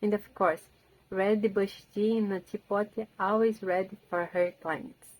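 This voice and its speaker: In a Portuguese accent, a woman of medium pitch talks at a fairly slow pace with monotone, flat intonation. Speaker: language learner and book video creator. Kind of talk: rehearsed book summary talk. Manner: halting, with repeated words and restarts.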